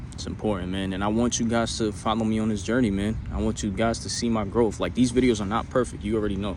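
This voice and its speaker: Very fast and with hardly any pauses, a man talks at a fairly low pitch. Noticeable background noise and audible room echo fill the recording. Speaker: self-improvement vlogger. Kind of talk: motivational monologue. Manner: halting; animated.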